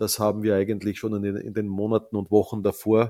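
Heard in a very clean recording with a silent background and a dry, close sound with no echo, the voice has a dark, mellow tone, monotone, flat intonation, and an Austrian accent. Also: man. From Austria, Salzkammergut. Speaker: ice hockey league executive. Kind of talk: interview. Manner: hesitant, many filler sounds.

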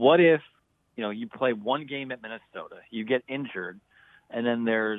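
A man with an unremarkable speaking voice, medium pitch, ordinary pitch variation and a fairly quick pace. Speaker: college football writer. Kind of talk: radio interview. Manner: upbeat.

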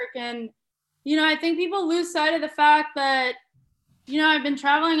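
Projecting loudly, a woman speaks in a bright and sharp tone. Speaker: travel photographer and content creator. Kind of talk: interview.

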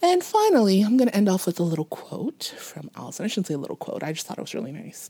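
A woman speaks very fast at a medium pitch, with hardly any pauses. Her tone is dark and mellow, with very wide pitch swings and big swings in loudness. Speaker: podcast host. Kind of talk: casual storytelling chat. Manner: casual, laughs often.

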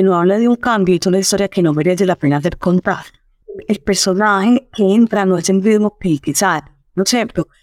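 Recorded dry and close with no echo, a woman with a plain, everyday voice talks at a medium pitch and a fairly quick pace, using ordinary pitch variation. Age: 50s. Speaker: storytelling expert. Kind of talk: interview.

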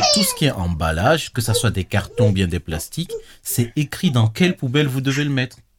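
Somewhat breathy and medium in pitch, a man talks at a fairly quick pace with very wide pitch swings. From Togo. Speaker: podcast host. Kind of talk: casual chat.

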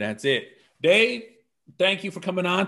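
A man talks in an animated tone. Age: 30s. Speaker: podcast host. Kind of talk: casual interview.

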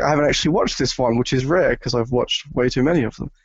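The speaker is a man with an Australian accent. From Australia, New South Wales. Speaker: atheist podcast guest. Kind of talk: casual debate. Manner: halting, repeats words.

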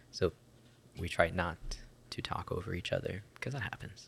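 The man is whispering. His pace is moderate. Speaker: podcast host. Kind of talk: casual chat. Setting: studio.

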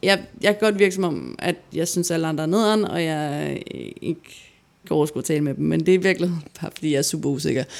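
A woman speaks at a very fast pace in a fairly low voice. Her pitch varies in an ordinary way. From Denmark, Gladsaxe near Copenhagen. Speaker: podcast co-host. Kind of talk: personal testimony.

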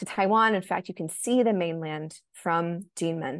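In an American accent, a woman speaks at a moderate pace with a fairly low pitch and ordinary pitch variation. It is a normal speaking voice, set against a quiet background. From United States. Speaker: journalist and author. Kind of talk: interview.

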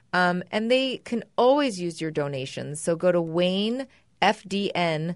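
This is a woman's voice at medium pitch. It is a normal speaking voice. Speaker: podcast co-host. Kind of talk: casual chat with husband.

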